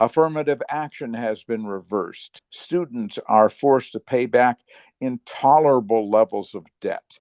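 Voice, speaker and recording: A man with a plain, everyday voice speaks at a fairly slow pace and medium pitch, with ordinary pitch variation, a quiet background and a dry, close sound with no echo. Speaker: podcast host. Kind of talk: podcast intro narration.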